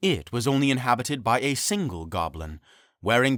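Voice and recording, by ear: A natural voice reads aloud. Its intonation is lively.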